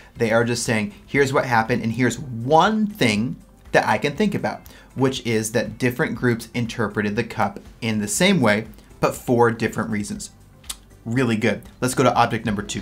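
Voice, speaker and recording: A man at a moderate pace with ordinary pitch variation, faint music playing behind him. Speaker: exam tutor. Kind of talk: tutorial.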